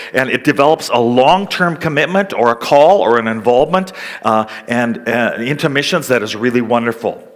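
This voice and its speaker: With a Canadian accent, a man speaks at a medium pitch and a moderate pace with lively intonation over noticeable background noise. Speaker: missionary. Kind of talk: seminar talk.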